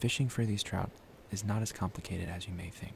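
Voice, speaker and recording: Someone whispers in a calm tone over noticeable background noise. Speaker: fishing and cooking content creator. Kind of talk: ASMR soft-spoken narration to camera. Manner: soft-spoken, calm.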